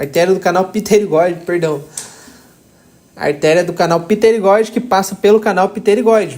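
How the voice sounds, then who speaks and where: A man talks at a moderate pace with ordinary pitch variation. His voice sits high, broken by long, frequent pauses. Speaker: anatomy tutor. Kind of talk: tutorial.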